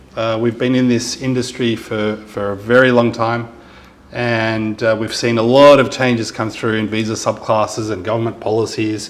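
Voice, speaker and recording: Over noticeable background noise, a man talks at a moderate pace and medium pitch in a monotone, flat intonation. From Lebanese background. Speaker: immigration lawyer. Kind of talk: information session presentation. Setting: live event with audience and mic.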